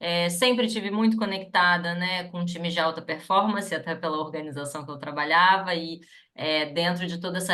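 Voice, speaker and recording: Audible room echo surrounds a woman speaking at a fairly low pitch with fairly even intonation. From Rio de Janeiro, Brazil. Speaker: psychologist and HR consultant. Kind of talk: webinar panel talk.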